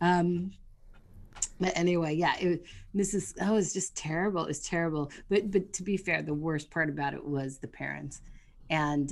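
A woman speaks in a plain, everyday voice at a fairly low pitch. Her pace is fairly slow, with ordinary pitch variation. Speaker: podcast co-host. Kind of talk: casual chat.

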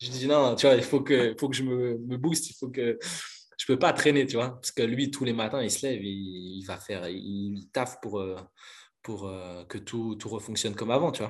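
Using an unremarkable speaking voice, a man talks at a moderate pace in a medium pitch with ordinary pitch variation. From Belgium, near Brussels. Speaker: breakdancer. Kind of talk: casual interview.

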